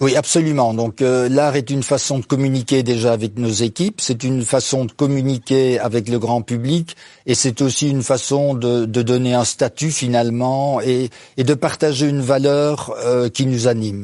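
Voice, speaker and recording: A medium-pitched man with a dark, mellow tone, moderate pace and fairly even intonation. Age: 70s. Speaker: business owner. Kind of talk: interview. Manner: hesitant, many fillers.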